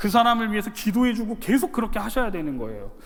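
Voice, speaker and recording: A man's extremely high-pitched voice with audible room echo. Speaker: pastor. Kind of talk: sermon. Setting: church. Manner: fast; animated.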